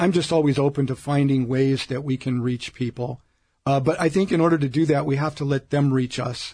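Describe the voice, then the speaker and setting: This man talks at a fairly quick pace in a fairly high, somewhat breathy voice with a dark, mellow tone and fairly even intonation. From US Midwest (Omaha, Nebraska). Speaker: diocesan ministry director. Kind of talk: interview. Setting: studio.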